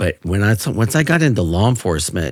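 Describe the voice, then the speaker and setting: On a very clean recording with a silent background, a man with an American accent speaks at a moderate pace with lively intonation. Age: 50s. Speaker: retired police officer. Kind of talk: interview. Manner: animated.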